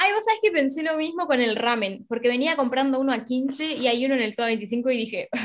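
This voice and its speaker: A woman's high voice with lively intonation at a fairly quick pace. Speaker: podcast co-host. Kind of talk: casual chat.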